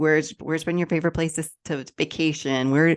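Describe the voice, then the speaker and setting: A woman's very deep, low voice with fairly even intonation over a quiet background. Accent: American. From US Midwest, Illinois. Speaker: podcast host and life coach. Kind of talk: casual interview chat.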